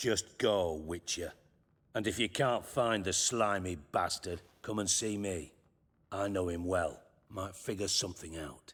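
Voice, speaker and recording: A man puts on a raspy character voice at a fairly low pitch. He talks at a fairly slow pace. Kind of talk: gruff crime boss. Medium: video game. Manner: sardonic, blunt, swears freely.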